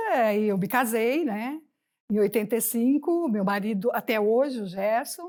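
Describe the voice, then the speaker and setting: Fairly slow delivery with lively intonation. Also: woman. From Brazil, interior of São Paulo state. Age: 60s. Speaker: retired Olympic volleyball player. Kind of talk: interview.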